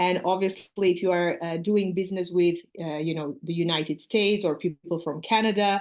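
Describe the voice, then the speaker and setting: Speaking with an Armenian accent, a woman keeps a fairly low pitch and fairly even intonation. She moves at a fairly quick pace with hardly any pauses, and the background is quiet. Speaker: English teacher. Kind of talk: casual chat.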